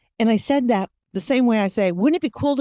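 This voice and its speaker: A woman's dark, mellow tone with very wide pitch swings, dry and close with no echo, over a quiet background. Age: 50s. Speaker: podcast host. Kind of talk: casual monologue.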